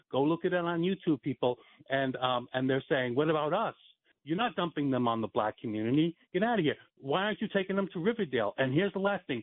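A man with an American accent talks at a very fast pace. His fairly high voice carries lively intonation. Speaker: caller. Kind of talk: casual chat. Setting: phone call.

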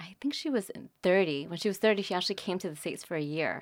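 An American woman talks in an unremarkable speaking voice at a medium pitch, her intonation lively. The recording is very clean, with a silent background. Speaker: painter and art teacher. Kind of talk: interview conversation.

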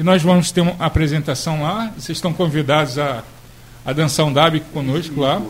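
Fairly high male voice, moderate tempo, ordinary pitch variation. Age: young. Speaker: cultural association leader. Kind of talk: radio interview. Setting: radio studio.

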